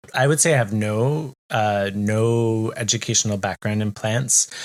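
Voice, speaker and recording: A man with a Canadian accent and a plain, everyday voice talks at a fairly slow pace, fairly low in pitch with ordinary pitch variation. The sound is dry and close with no echo, on a very clean recording with a silent background. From Canada. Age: 40s. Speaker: podcast co-host. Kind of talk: casual chat.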